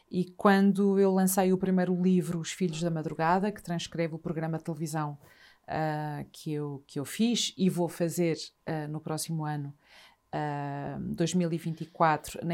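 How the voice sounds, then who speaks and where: A woman speaks in an unremarkable speaking voice at a fairly slow pace with fairly even intonation. The recording is very clean, with a silent background. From northern Portugal, Trás-os-Montes (Vila Real). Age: 50s. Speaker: journalist and writer. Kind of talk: casual chat.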